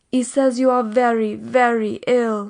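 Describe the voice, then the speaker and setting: Using a put-on character voice, a woman speaks fairly slowly at a high pitch with monotone, flat intonation. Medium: read story. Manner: anxious, emotional.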